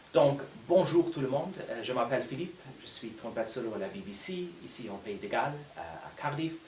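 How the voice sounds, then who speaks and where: Amid noticeable background noise and audible room echo, a man talks at a very fast pace with fairly high pitch, very wide pitch swings and big swings in loudness. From Luxembourg. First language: Luxembourgish. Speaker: orchestral trumpet player and teacher. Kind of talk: unedited casual video talk. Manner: hesitant, many fillers.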